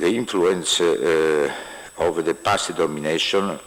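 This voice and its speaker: Over noticeable background noise, a man speaks very slowly with an Italian accent. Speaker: university official. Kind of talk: formal speech. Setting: conference hall. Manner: halting.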